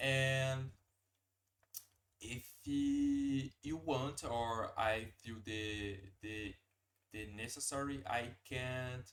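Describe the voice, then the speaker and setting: A man with a Portuguese accent, medium in pitch with ordinary pitch variation, at a very slow pace with long, frequent pauses. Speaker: language learner streamer. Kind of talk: live stream language practice. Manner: halting, hesitant.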